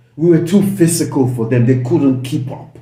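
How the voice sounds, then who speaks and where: A man speaks in an animated tone with ordinary pitch variation. Audible room echo surrounds his voice. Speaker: football fan channel host. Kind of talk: casual match review.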